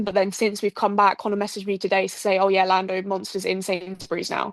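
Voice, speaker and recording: A woman with a medium pitch talks at a very fast pace with an English accent. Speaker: podcast co-host. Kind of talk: casual chat. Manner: animated.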